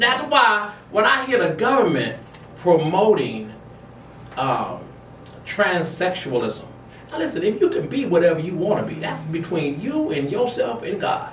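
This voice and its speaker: An animated, high-pitched man at a fairly slow pace, with very wide pitch swings, audible room echo and noticeable background noise. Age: 60s. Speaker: talk show host. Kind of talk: casual chat.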